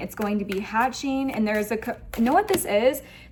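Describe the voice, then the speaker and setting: A woman's fairly high voice comes at a fairly quick pace, with ordinary pitch variation and noticeable background noise behind it. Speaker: tarot reader. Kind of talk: tarot reading to camera. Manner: animated.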